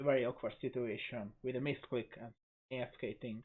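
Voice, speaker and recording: A man talks at a moderate pace with a non-native accent. His pitch sits in the medium range. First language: not English. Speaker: gaming video creator. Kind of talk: gameplay commentary. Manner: hesitant, with fillers.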